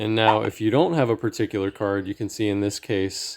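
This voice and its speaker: A man with a fairly low pitch. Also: very clean recording, silent background. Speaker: gaming strategy video creator. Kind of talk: tutorial. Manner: slow.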